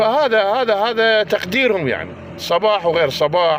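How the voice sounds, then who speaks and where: Noticeable background noise runs beneath a man speaking at a fairly slow pace. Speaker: political commentator. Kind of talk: angry monologue. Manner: animated.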